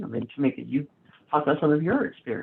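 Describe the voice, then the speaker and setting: Lively intonation marks this woman's speech, delivered with an American accent. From US South. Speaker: panel moderator. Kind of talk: panel discussion.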